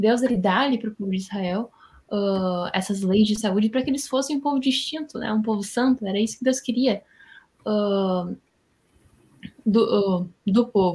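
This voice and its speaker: The voice has a dark, mellow tone, somewhat breathy, with ordinary pitch variation, a moderate pace, and long, frequent pauses. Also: woman, fairly high pitch for a woman. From Rio Grande do Sul, Brazil. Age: 20s. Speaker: Bible study guest. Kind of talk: Bible study discussion.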